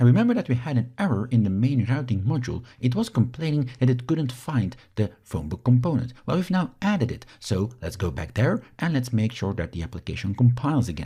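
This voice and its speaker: A man with a Flemish accent talks fairly quickly with hardly any pauses, his medium-pitched, dark, mellow voice carrying vocal fry and very wide pitch swings. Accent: Belgian Dutch (Flemish) accent in English. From Belgium. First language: Dutch. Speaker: software instructor. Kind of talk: tutorial.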